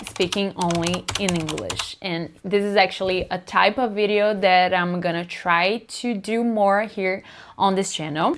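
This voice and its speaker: Against noticeable background noise, a woman with a Brazilian accent speaks fairly slowly at a medium pitch. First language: Portuguese. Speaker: booktuber. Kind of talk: casual talk to camera.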